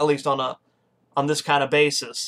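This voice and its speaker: The speaker has an American accent and a moderate pace. The background is quiet. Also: man. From Texas. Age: 20s. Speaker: political podcast host; political webcast host. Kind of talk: casual monologue; casual vlog chat. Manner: hesitant fillers. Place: home room. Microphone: webcam.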